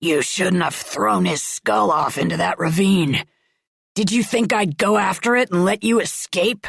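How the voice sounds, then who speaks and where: A woman growls in a put-on character voice of medium pitch, swinging very widely in pitch at a moderate pace, with a dry, close sound and no echo. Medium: read story. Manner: menacing, harsh.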